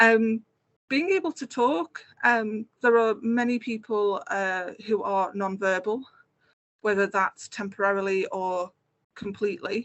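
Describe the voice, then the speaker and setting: A woman talks at a fairly slow pace. Her pitch is fairly high. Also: ordinary pitch variation. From Merseyside, northwest England. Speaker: game producer and accessibility consultant. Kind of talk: conference talk with slides. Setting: online community event. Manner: conversational, many filler words.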